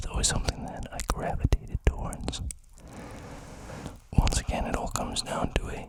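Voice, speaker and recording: Someone is whispering. There is noticeable background noise behind the voice. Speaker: ASMR creator. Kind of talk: close-mic soft-spoken talk. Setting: home studio, close condenser mic. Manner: soft-spoken.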